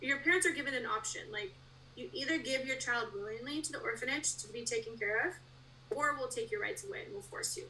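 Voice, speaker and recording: A woman's raised, projected voice with an American accent, high-pitched with a bright, sharp tone, very wide pitch swings, and a fairly quick pace. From Russia, adopted to US around age 11. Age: 30s. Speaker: podcast guest sharing adoption story. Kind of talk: personal testimony.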